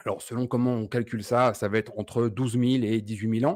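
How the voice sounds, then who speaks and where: A man with an ordinary speaking voice and medium pitch talks at a fairly quick pace on a very clean recording with a silent background. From France. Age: 40s. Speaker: keto diet community founder. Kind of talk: podcast interview.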